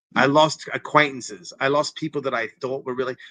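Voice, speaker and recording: Energetic and animated, the speaker talks at a fairly quick pace with a bright, sharp tone and a non-native accent in a dry, close sound with no echo. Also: man. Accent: foreign accent, noticeable. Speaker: interventionist, former TV personality. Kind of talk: interview, personal story. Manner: energetic, animated.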